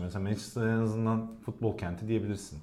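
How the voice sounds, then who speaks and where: Audible room echo carries a man's medium-pitched voice. It has a dark, mellow tone and sounds somewhat breathy. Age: 30s. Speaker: football pundit. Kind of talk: casual chat.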